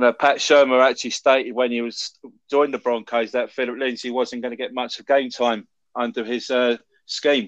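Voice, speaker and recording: A man with a London accent speaks at a moderate pace and medium pitch in a monotone, flat intonation, and the sound is dry and close with no echo. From London, England. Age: 40s. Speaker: American football fan. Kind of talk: casual chat.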